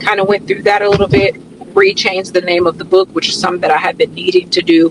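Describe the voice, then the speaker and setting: Noticeable background noise sits behind a woman whose medium-pitched voice has fairly even intonation. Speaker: wellness coach and fitness instructor. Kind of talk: casual vlog narration. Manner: casual, relaxed.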